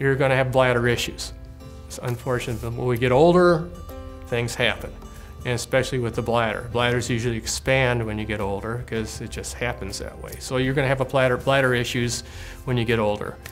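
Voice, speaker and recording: Music plays in the background while a man talks at a fairly quick pace, using a medium pitch and ordinary pitch variation. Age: 70s. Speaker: bladder cancer survivor. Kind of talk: interview answer.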